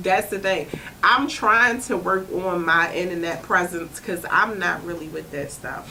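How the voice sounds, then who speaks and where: Noticeable background noise sits under the voice, and the room echo is audible. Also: woman. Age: 30s. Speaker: comedian. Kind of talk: casual chat. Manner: conversational, frequent 'you know what I'm saying'.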